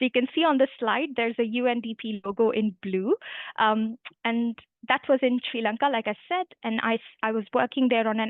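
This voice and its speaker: With an Indian accent, a woman speaks at a fairly quick pace and a fairly high pitch. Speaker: human rights lawyer. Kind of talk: career talk to students.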